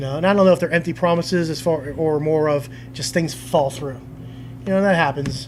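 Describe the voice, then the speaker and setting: A man's fairly high voice, with ordinary pitch movement, runs at a fairly quick rate amid noticeable background noise. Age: 40s. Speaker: pro wrestler. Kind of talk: interview. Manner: halting.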